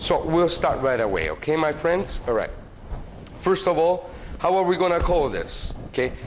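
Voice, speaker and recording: A man with an Italian accent, an animated tone and very even loudness, over noticeable background noise and audible room echo. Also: moderate pace. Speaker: cooking show host. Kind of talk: cooking tutorial. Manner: hesitant with many fillers.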